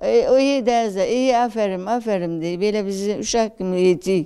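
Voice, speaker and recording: At a moderate pace, a woman speaks with a dark, mellow tone. Her intonation is lively. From Gaziantep, Turkey. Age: 80s. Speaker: elderly Quran course student. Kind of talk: interview answer. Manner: casual, chatty, cheerful.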